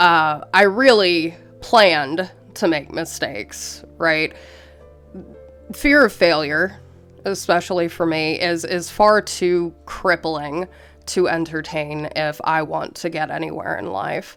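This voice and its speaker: A woman's fairly low voice at a very slow pace, ordinary pitch variation, and music in the background. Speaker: college student. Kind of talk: casual advice talk to camera.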